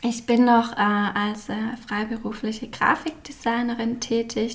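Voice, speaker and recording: A woman speaks at a very slow pace. Her fairly high voice keeps a fairly even intonation. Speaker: graphic designer and stationery label founder. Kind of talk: casual interview. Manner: many filler sounds.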